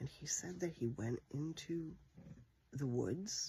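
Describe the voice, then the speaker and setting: This man is soft-spoken. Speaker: vlogger telling personal story. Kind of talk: personal monologue. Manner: quiet, talking softly; hesitant, many fillers.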